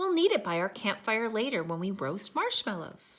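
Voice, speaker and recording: A woman puts on a warm character voice at a medium pitch, swinging it very widely up and down. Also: moderate pace. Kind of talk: bedtime story. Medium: read story. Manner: warm, patient.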